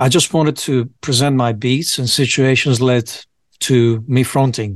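A man's medium-pitched voice with a Greek accent, fairly even intonation and a moderate pace against a quiet background. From Greece, Piraeus. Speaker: rapper and producer. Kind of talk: casual chat.

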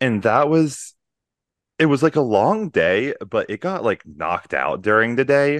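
Against a quiet background, an ordinary speaking voice moves at a fairly slow pace with lively intonation, and the sound is dry and close with no echo. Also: man, fairly high pitch for a man. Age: 20s. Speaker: podcast co-host, product manager. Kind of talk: casual chat.

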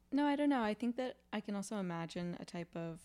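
An ordinary speaking voice from a woman at a moderate pace, dry and close with no echo, in a very clean recording against a silent background. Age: 20s. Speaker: podcast host. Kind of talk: casual chat.

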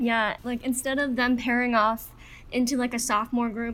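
A woman with an ordinary speaking voice talks at a fairly quick pace and a fairly high pitch. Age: young. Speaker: college freshman. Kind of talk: casual chat.

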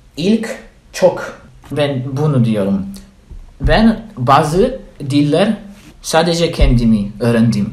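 A man with a Polish accent speaks at a very slow pace, his pitch swinging very widely. Long, frequent pauses break his speech, and audible room echo surrounds it. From Poland. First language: Polish (speaking Turkish). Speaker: language student. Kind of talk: casual interview. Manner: halting, many fillers.

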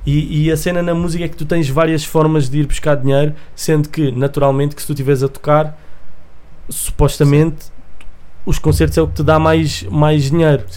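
Audible room echo surrounds a man's fairly high-pitched voice. He speaks at a moderate pace with fairly even intonation. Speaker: music producer and rapper. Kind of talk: casual chat.

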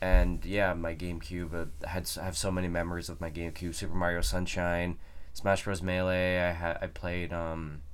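A man with a very deep, low pitch speaks in a monotone, flat intonation. His pace is moderate, with audible room echo. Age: 20s. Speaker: gaming podcast co-host. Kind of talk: casual chat.

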